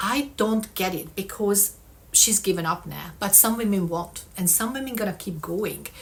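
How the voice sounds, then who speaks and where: Somewhat breathy, a woman talks at a fairly slow pace with a non-native accent. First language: not English. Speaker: vlogger. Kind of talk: casual vlog monologue. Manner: conversational, frequent 'um' fillers.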